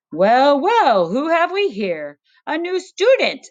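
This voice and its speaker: Putting on a character voice, a woman speaks at a fairly slow pace in a high pitch that swings very widely. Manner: jovial, smiling.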